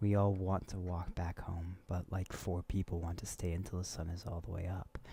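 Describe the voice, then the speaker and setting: Over a very clean, silent background, a man with a very deep, low pitch speaks at a moderate pace in a somewhat breathy, dark and mellow tone, his intonation monotone and flat. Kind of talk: reading a creepypasta story aloud, casual with cursing.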